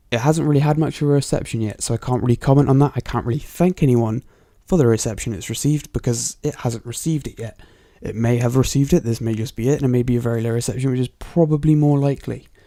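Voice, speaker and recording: The recording is very clean, with a silent background. A man speaks at a very fast pace in a dark, mellow tone with ordinary pitch variation. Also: medium pitch for a man. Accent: Bristol. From England, Bristol. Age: 20s. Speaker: MMA podcast host. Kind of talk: solo podcast commentary. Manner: casual, hesitant with fillers.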